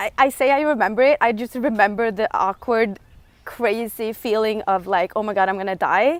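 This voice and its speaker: This woman has a fairly high pitch and a non-native accent. The recording is very clean, with a silent background. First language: not English. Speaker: lifestyle vlogger. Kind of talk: livestream monologue. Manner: halting.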